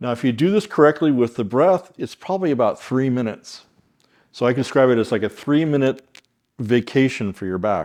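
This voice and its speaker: Pausing long and often, a man at a medium pitch speaks at a moderate pace with lively intonation and big swings in loudness. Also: very clean recording, silent background. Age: 60s. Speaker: chiropractor. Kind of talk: tutorial. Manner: calm.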